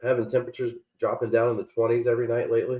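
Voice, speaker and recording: Someone talks at a very fast pace with a Southern US accent. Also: man. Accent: southern twang. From Virginia, Richmond. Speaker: real estate agent. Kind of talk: casual chat. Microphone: too quiet.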